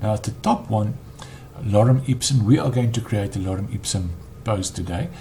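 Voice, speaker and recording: With a non-native accent, a man speaks at a fairly low pitch with ordinary pitch variation, long, frequent pauses and noticeable background noise. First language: not English. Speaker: web developer. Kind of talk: tutorial. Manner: halting, frequent ums.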